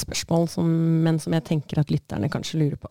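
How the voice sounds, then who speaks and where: A woman speaks in a dark, mellow tone at a fairly low pitch, and the sound is dry and close with no echo. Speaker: podcast host. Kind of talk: interview.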